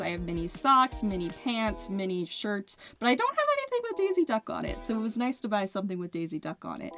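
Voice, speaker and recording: With music in the background, a woman with an American accent speaks in an upbeat tone. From Kennett Square, Pennsylvania. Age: 20s. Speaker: musician and singer. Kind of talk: casual talk to camera over gameplay.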